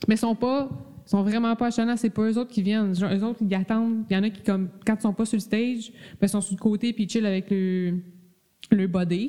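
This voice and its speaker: A woman with a Quebec accent, her fairly high voice carrying a dark, mellow tone. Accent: Québécois French. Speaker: podcast host. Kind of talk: casual chat. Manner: animated.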